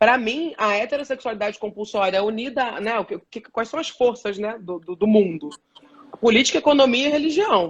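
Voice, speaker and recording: The intonation is lively and the pace fairly quick. Loudness swings widely throughout. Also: woman, fairly high pitch for a woman. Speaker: journalist and body positivity activist. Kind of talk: live stream panel discussion. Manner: fast.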